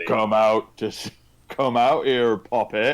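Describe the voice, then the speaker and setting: Booming in a put-on character voice of medium pitch, a man speaks at a very slow pace with fairly even intonation. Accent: West Country. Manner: menacing, shouting.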